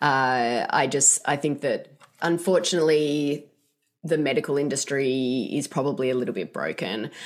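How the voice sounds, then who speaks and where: A woman with an Australian accent talks at a moderate pace in a very deep, low pitch with ordinary pitch variation. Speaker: author. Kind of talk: interview.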